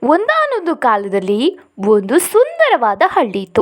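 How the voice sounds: The speaker goes at a fairly slow pace. Pitch swings are very wide. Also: woman, high pitch for a woman.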